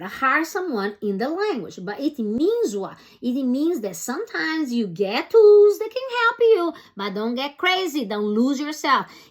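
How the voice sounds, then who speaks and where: A high-pitched female voice with very wide pitch swings, big swings in loudness and noticeable background noise. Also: moderate pace. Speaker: personal development coach. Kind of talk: motivational talk to camera. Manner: halting at times.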